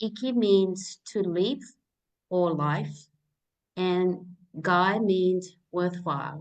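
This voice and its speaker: This woman speaks in a Japanese accent at a medium pitch. Her intonation stays fairly even. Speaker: naturopath and live chat host. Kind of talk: live interview chat. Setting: live stream.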